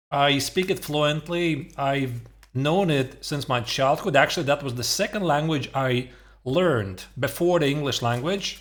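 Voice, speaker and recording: With a Latvian accent, a man speaks at a fairly slow pace and fairly high pitch, his pitch varying in an ordinary way, on a very clean recording with a silent background. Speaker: chess streamer. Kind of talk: casual reaction stream commentary. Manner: hesitant, many fillers.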